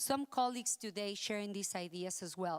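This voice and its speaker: In a very clean recording with a silent background, a woman speaks with a strong Spanish accent and ordinary pitch variation. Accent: thick Spanish. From Mexico. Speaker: accessibility consultant. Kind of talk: conference talk.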